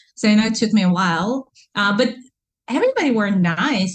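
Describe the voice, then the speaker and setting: A woman's somewhat breathy voice moves along at a fairly quick pace. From Russia (Kazan, Tatarstan). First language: Russian. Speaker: entrepreneur and mother. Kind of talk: interview. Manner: animated.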